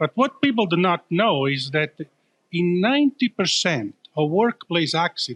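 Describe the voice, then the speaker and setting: A man speaks in an Italian accent at a high pitch with very wide pitch swings and a moderate pace. His loudness stays very even, and the sound is dry and close with no echo. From Italy. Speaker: startup founder and CEO. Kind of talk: live event interview. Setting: live event with crowd.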